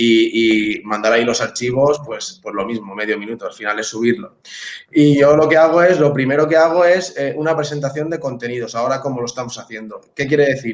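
The speech moves at a fairly quick pace. Pitch variation is ordinary. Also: man, fairly high pitch for a man. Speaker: teacher. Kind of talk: casual chat. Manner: fast.

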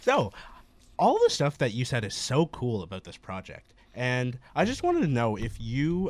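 The man has an unremarkable speaking voice, pitched in the medium range and delivered at a moderate pace. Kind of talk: student radio host patter: back-from-break station ID and welcome. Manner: upbeat, chatty, casual.

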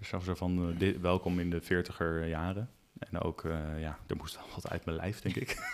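A man's very deep, low voice at a moderate pace, with monotone, flat intonation and noticeable background noise. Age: 40s. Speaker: podcast co-host. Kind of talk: casual chat.

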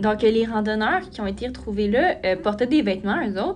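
Fairly high in pitch, a woman speaks at a fairly quick pace in an ordinary speaking voice. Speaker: podcast host. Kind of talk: casual storytelling podcast.

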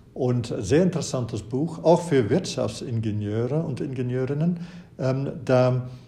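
Audible room echo surrounds a man of medium pitch who speaks at a moderate pace with ordinary pitch variation. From Flanders, Belgium. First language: Dutch (Flemish) (speaking German). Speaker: professor. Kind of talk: interview. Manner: hesitant with many fillers.

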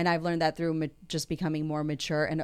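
A woman with a Texas accent speaks in a very deep, low pitch and a flat monotone, recorded very cleanly against a silent background. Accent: American, Texas. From Houston, Texas. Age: 40s. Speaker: muralist and entrepreneur. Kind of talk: casual interview. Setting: studio.

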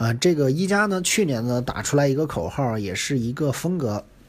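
Lively intonation marks this man's somewhat breathy voice. He talks at a fairly quick pace. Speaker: tech reviewer. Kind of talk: casual monologue. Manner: halting, many fillers.

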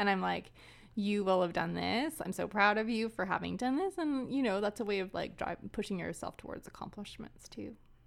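A woman in a Canadian prairie accent at a medium pitch, with ordinary pitch variation and a fairly quick pace, on a very clean recording with a silent background. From Canadian prairies. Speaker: film and library worker. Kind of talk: casual interview.

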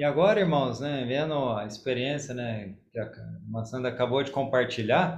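A man speaks in a somewhat breathy voice. Audible room echo surrounds him. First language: Portuguese (speaking Korean). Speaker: church member, bakery owner. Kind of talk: testimony.

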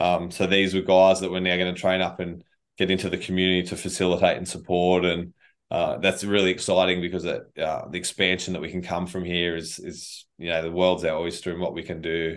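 In an Australian accent, a man with a very deep, low pitch speaks at a fairly quick pace in a monotone, flat intonation. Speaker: charity director and army veteran. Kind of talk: interview conversation.

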